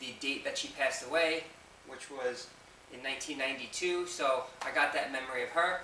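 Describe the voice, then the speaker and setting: A man with an American accent, fairly high in pitch and fairly even in intonation, amid audible room echo and noticeable background noise. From New York. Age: 20s. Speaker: fitness vlogger. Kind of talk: Q&A video. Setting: home basement. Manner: casual.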